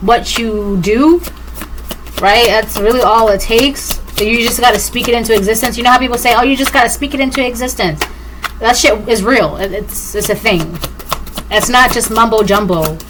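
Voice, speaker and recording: Music plays behind a woman whose fairly high voice shows ordinary pitch variation, with audible room echo around her. She keeps a moderate pace broken by long, frequent pauses. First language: Spanish. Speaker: tarot reader. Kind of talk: collective tarot reading monologue.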